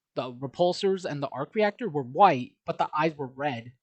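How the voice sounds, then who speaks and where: Against a quiet background, the talking proceeds at a moderate pace. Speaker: artist, drawing commentary youtuber. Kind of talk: casual commentary over speed drawing. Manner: halting, stumbling over words; casual, filler-heavy.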